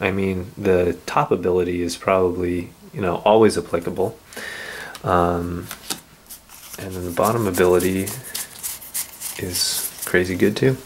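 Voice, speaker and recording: A man's very deep, low voice at a moderate pace, with fairly even intonation, long, frequent pauses and noticeable background noise. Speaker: card game video host. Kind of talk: casual card-opening talk to camera.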